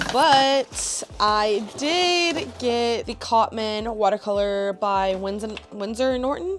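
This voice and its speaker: A woman's fairly high, upbeat voice with lively intonation at a very slow pace with hardly any pauses, amid noticeable background noise. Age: 20s. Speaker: artist and vlogger. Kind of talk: casual vlog chat. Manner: chatty, upbeat.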